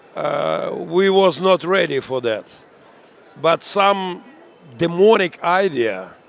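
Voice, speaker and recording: Noticeable background noise sits behind a man speaking at a very slow pace. He leaves long, frequent pauses. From Ukraine, Mariupol. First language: Ukrainian or Russian. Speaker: pastor and military chaplain commander. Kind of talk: interview. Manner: halting, broken English.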